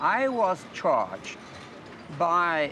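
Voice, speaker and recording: Audible room echo surrounds a man's voice. His pitch is high and swings very widely. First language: French. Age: 60s. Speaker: university professor. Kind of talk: interview statement. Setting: outdoors in front of a courthouse.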